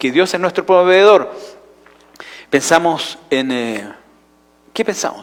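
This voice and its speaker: A man with a Chilean accent speaks at a high pitch with lively intonation. His pace is fairly slow. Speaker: pastor. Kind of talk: sermon. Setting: church.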